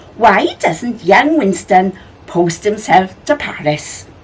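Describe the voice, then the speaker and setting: A woman's put-on character voice, cheerful in tone, medium in pitch, at a fairly slow pace. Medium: read story. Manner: cheerful, giggly.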